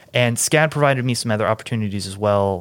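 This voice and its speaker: With an American accent, a man talks fairly quickly at a medium pitch in an unremarkable speaking voice. The recording is very clean with a silent background. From US Midwest, Kansas City. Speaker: film electrician and camera operator. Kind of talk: casual chat.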